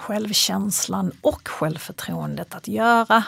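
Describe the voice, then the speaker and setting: Very slowly, a woman speaks in a very clean recording with a silent background. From Sweden, Kristianstad (Skåne). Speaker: psychologist and fitness coach. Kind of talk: interview conversation. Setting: in studio with host, in person.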